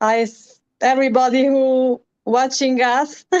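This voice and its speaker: A woman's high-pitched voice with monotone, flat intonation. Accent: Romanian. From Romania. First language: Romanian. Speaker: musician. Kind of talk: interview. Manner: halting.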